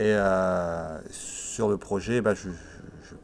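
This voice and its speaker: Here is a man speaking. His pitch is fairly low. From Italy, moved to France at 7. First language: Italian (speaking French). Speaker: musician and project coordinator. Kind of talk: documentary interview. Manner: hesitant, many fillers.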